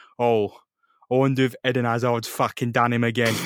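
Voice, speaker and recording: A man speaks at a moderate pace with a British accent. The sound is dry and close, with no echo. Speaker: podcast host. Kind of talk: casual chat.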